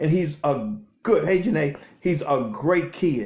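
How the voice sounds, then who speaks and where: A man's voice, high in pitch, with very wide pitch swings. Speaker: credit repair business owner. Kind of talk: live stream chat. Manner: fast; stammering repetitions.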